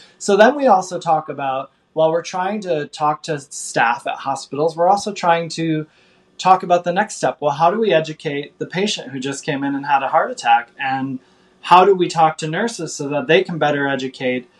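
A man with an American accent and a normal speaking voice, fairly high in pitch, with ordinary pitch variation and a moderate pace. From US Midwest. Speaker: vegan chef and cookbook author. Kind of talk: podcast interview.

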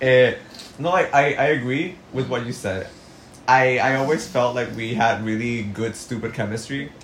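Over noticeable background noise and audible room echo, a man with a Spanish accent speaks at a medium pitch and a moderate pace with ordinary pitch variation. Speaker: podcast co-host. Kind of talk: casual chat.

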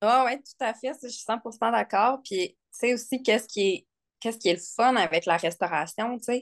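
With a quiet background behind her, a woman speaks at a fairly slow pace with ordinary pitch variation. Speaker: nurse and furniture restorer. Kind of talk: casual interview chat. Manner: hesitant, many fillers.

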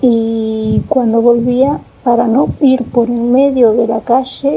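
In a Rioplatense accent, a woman speaks with a high pitch and fairly even intonation. There is noticeable background noise. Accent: Argentine Rioplatense Spanish. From Argentina, Tandil. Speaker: storyteller sharing a personal experience. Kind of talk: personal testimony. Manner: halting, with many fillers and repetitions.

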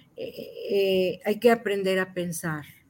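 In a very clean recording with a silent background, a woman talks. Her pitch is medium, with ordinary variation. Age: 60s. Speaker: psychotherapist. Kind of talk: interview.

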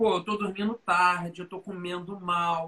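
A man's raised, projected voice comes across bright and sharp at a fairly slow pace. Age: 40s. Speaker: learning designer and speaker. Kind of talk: casual interview on a live stream.

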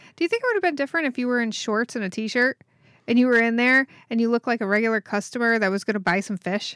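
A woman talks at a very fast pace in a fairly high voice. The recording is very clean with a silent background, and the sound is dry and close, with no echo. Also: ordinary pitch variation. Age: 40s. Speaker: podcast co-host, web designer. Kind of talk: casual chat.

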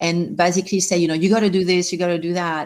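A woman's fairly low voice with a French accent. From France. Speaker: life coach and cancer survivor. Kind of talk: interview.

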